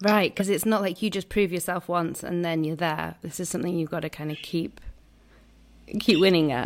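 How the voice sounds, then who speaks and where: On a very clean recording with a silent background, a woman with an unremarkable speaking voice talks at a fairly quick pace, her fairly low pitch held in fairly even intonation. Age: 30s. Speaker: podcast host. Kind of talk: casual chat.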